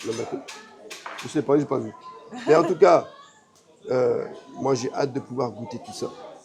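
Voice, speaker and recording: A man talks at a fairly slow pace, leaving long, frequent pauses. His loudness swings widely, and there is noticeable background noise. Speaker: travel and theme park vlogger. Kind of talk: casual vlog chat. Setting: hotel restaurant.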